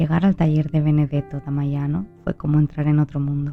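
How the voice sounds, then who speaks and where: Soft-spoken over music in the background, a woman with a very deep, low pitch talks in a monotone, flat intonation. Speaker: narrator. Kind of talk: sleep story. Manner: slow.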